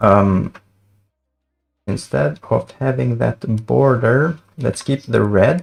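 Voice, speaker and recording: A non-native accent with music in the background. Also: man. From Sweden. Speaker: front-end developer. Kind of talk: casual livestream coding commentary.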